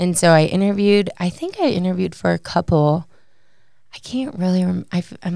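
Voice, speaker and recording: A woman's dark, mellow voice, fairly low in pitch, at a fairly quick pace on a very clean recording with a silent background. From Chicago suburbs, Illinois. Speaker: university graduate assistant. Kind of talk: casual interview.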